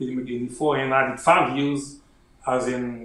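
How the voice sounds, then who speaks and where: In a Haitian accent, a man talks at a moderate pace and medium pitch with monotone, flat intonation. Audible room echo fills the recording. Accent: Haitian Creole-accented English. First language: Haitian Creole. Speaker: army officer and author. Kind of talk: interview.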